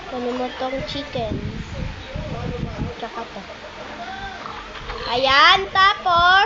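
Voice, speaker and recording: Loud and high-pitched, a woman speaks at a very slow pace with very wide pitch swings and long, frequent pauses, amid audible room echo and noticeable background noise. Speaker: Minecraft gaming YouTuber. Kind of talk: gameplay commentary. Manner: casual, chatty. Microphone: phone mic, lagging.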